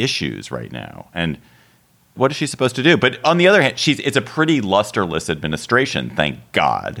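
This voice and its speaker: A man's voice with vocal fry, very wide pitch swings and a fairly quick pace. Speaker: podcast host. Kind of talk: casual chat.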